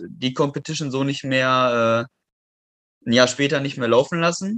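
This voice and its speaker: This man has a plain, everyday voice at medium pitch. He talks at a moderate pace with ordinary pitch variation. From western Germany, near Düsseldorf. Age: 20s. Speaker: calisthenics athlete and metalworker. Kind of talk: casual interview.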